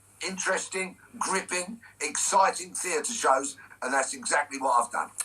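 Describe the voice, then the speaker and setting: This man has a high pitch and lively intonation. He speaks at a fairly slow pace against noticeable background noise. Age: 60s. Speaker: former police officer and stage performer. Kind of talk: radio interview. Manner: emphatic.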